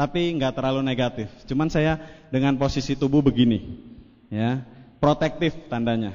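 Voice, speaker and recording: His pitch rises and falls in an ordinary way. The man talks at a moderate pace, pitched in the medium range. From Indonesia, West Java (Cirebon). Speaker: network marketing speaker. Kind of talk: motivational seminar talk. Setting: stage with audience. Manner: animated.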